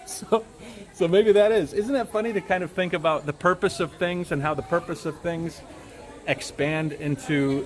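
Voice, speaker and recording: A man speaks loudly at a fairly slow pace. Crowd noise fills the background. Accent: American. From United States. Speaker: travel YouTuber and tour host. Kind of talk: live-stream tour commentary. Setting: outdoors at a temple. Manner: casual, with fillers and repetitions.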